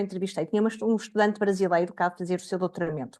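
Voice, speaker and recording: The speaker is a woman. She has a European Portuguese accent. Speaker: education researcher. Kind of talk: academic seminar talk.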